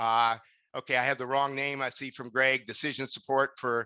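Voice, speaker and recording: Over a quiet background, a man at medium pitch speaks with monotone, flat intonation in a dry, close sound with no echo. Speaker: course instructor. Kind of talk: webinar lecture. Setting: online webinar. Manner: fast.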